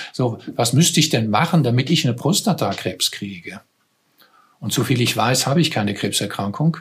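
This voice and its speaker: At a moderate pace, a man speaks in a plain, everyday voice with medium pitch. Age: 60s. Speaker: psychotherapist in cancer care. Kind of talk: interview conversation.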